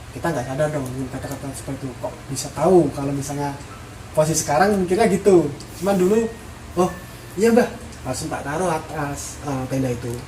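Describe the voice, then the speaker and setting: Over noticeable background noise, a man talks at a very fast pace in a fairly high pitch with lively intonation. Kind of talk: horror story told from personal experience. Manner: hesitant, rambling, pauses with fillers.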